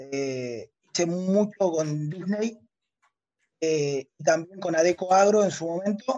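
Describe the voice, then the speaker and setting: A man's high-pitched voice. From Argentina, Río Negro. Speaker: caller, retail investor. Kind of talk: casual chat. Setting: remote call from a hotel room.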